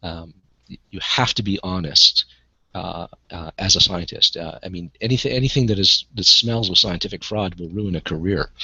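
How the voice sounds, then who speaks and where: A man's very deep, low-pitched voice with big swings in loudness. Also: ordinary pitch variation, moderate pace. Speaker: online video creator. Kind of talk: casual discussion. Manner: halting, many fillers.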